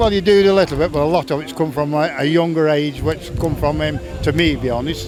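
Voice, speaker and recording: A man talks at a fairly quick pace, with a fairly high pitch. His pitch varies in an ordinary way over noticeable background noise. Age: 60s. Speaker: retired stock car driver. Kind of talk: casual interview.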